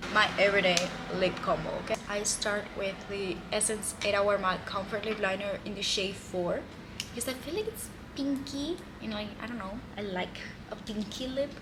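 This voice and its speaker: A woman with a Spanish accent speaks at a medium pitch and moderate pace, with ordinary pitch variation. The room echo is audible, and there is noticeable background noise. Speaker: beauty vlogger. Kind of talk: tutorial. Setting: balcony. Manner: casual.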